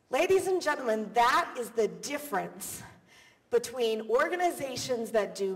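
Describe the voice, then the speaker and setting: In a theatrical tone, a woman speaks at a fairly slow pace with a high pitch and very wide pitch swings. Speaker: keynote speaker. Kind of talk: live keynote speech. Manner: high-energy, theatrical.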